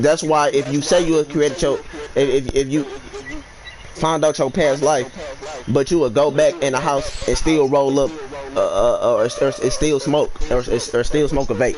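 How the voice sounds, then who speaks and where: There is noticeable background noise behind a man whose loudness stays very even. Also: moderate pace. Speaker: livestreamer and beat maker. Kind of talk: casual chat. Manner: halting.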